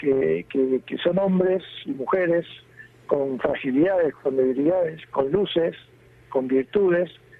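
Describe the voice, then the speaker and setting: A fairly slow, fairly high-pitched male voice with ordinary pitch variation and noticeable background noise. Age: 60s. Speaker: bishop. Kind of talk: interview.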